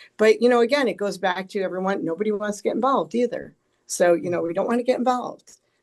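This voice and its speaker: A woman speaks at a very fast pace with ordinary pitch variation. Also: medium pitch for a woman. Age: 60s. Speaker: policy expert. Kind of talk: panel discussion.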